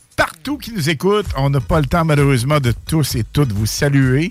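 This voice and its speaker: This man speaks with a Quebec accent. His voice is fairly high, and his pace is moderate. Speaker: radio host. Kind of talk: live radio show. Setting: radio studio. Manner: animated.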